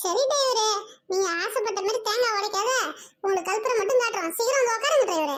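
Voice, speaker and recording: A woman puts on a cartoonish character voice at an extremely high pitch. Her loudness stays very even at a moderate pace. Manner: loud, bossy.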